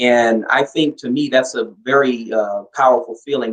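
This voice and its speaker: A man's unremarkable speaking voice with an American accent, medium in pitch, with fairly even intonation. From US West Coast, Los Angeles (Compton). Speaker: interview guest, emigrant. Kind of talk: interview.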